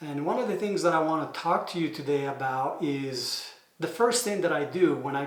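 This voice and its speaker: Audible room echo surrounds a man with an Italian accent and a fairly high pitch. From Italy. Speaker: manufacturing engineer and consultant. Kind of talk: explainer video. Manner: hesitant, many fillers.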